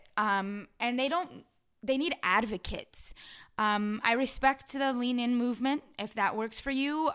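A woman speaks with an American accent and a high pitch. Her pace is fairly slow, and her pitch variation is ordinary. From Los Angeles, San Fernando Valley (Pacoima). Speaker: community activist and mentor. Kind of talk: casual interview chat.

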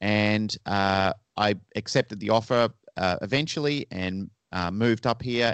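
With an Australian accent, a man speaks at a fairly low pitch with ordinary pitch variation. The sound is dry and close with no echo, against a quiet background. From Australia, Melbourne. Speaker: dog trainer and pet resort manager. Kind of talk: interview.

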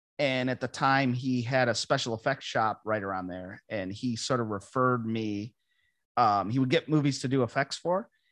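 An ordinary speaking voice from a man with an American accent, medium pitch, ordinary pitch variation and a moderate pace, in a dry, close sound with no echo against a quiet background. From western New York (Ransomville, near Lewiston). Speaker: actor. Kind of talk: casual interview.

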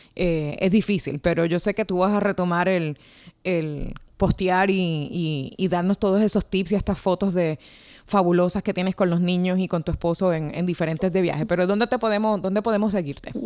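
A woman talks in a plain, everyday voice of medium pitch with fairly even intonation. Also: moderate pace, very even loudness. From Puerto Rico. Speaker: podcast host and journalist. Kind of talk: casual interview. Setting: remote call across time zones.

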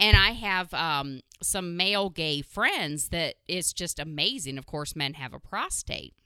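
A woman's bright, sharp voice at a fairly low pitch, with lively intonation, big swings in loudness, a fairly slow pace and hardly any pauses, in a very clean recording with a silent background. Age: 40s. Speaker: podcast host. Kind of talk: casual chat.

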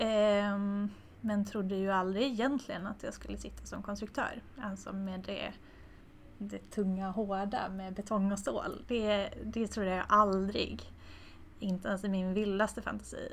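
A woman's somewhat breathy, medium-pitched voice, with fairly even intonation at a fairly slow pace. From Tornedalen, northern Sweden (Haparanda). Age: 30s. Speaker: structural engineer. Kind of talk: interview. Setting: office meeting room.

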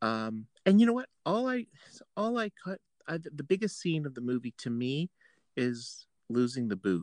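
With a Canadian accent, a man with a fairly high pitch speaks at a moderate pace with very wide pitch swings in a dry, close sound with no echo. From Ontario, Canada. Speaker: podcast host. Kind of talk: casual chat.

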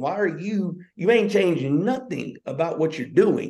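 An animated man with a high pitch, at a moderate pace. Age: 30s. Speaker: podcast co-host, teacher and football coach. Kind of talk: motivational casual chat.

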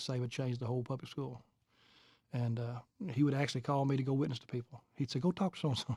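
A man talks very fast with a Kentucky accent and fairly even intonation. The recording is very clean and dry, close with no echo, against a silent background. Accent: Southern US (Kentucky). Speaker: evangelist and church planter. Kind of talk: interview testimony.

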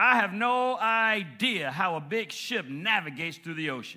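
Bright, sharp and animated, a man's voice moves through very wide pitch swings. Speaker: preacher. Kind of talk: sermon. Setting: church. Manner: animated, call-and-response preaching that seeks amens from the congregation; impassioned, building intensity and rhythmic emphasis, with repeated phrases.

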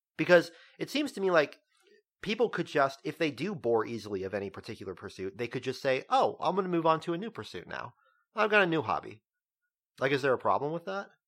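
A man with a fairly high voice talks at a very fast pace with very wide pitch swings. The recording is very clean with a silent background. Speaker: podcast host. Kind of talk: casual banter. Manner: joking, conversational.

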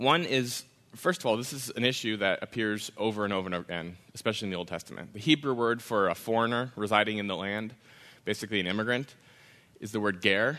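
A man with an American accent and a bright, sharp tone at a fairly low pitch, very fast, with ordinary pitch variation against a quiet background. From Wisconsin. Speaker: immigration advocate and author. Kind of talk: lecture. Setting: stage with audience.

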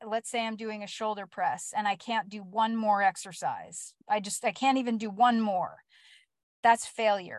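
This woman has a normal speaking voice, fairly high in pitch, and talks at a moderate pace in a dry, close recording with no echo. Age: 50s. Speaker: fitness coach. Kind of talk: casual talk to listeners. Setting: live stream.

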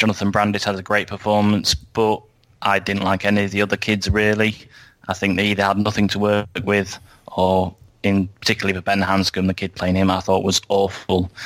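A man talks at a fairly quick pace in a fairly low pitch. His intonation stays flat and monotone. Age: 30s. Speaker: podcast guest, film discussion. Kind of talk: casual chat.

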